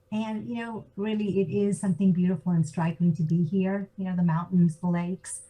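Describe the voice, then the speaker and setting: With an American accent, a woman talks at a fairly quick pace and hardly any pauses, in a medium-pitched voice. Noticeable background noise runs underneath. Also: fairly even intonation. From US (Georgia, Atlanta). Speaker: business consultant. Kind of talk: interview. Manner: halting, many fillers.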